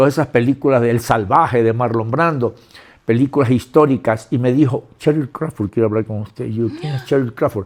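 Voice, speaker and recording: At a fairly quick pace, a man talks in a normal speaking voice with medium pitch and ordinary pitch variation. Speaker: actor and filmmaker. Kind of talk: interview.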